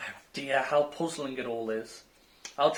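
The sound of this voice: This is an unforced reading voice. The words are read out with ease.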